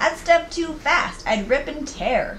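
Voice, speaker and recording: This is a put-on character voice. The pitch is high. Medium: read story.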